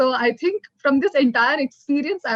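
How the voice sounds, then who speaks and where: A woman speaks at a high pitch with a South Indian accent. The sound is dry and close, with no echo. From South India, Bangalore. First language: Kannada. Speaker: corporate executive, panelist. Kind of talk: panel discussion.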